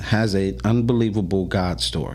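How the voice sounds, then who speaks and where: Noticeable background noise and audible room echo accompany speech at a moderate pace with very wide pitch swings. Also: man. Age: 50s. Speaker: podcast host. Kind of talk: casual chat.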